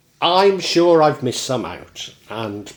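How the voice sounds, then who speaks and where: A man with a Shropshire accent at a very slow pace, his pitch swinging very widely. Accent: Shrewsbury pronunciation. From Shropshire, England (Shrewsbury area). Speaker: local history presenter. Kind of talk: casual monologue; reading aloud.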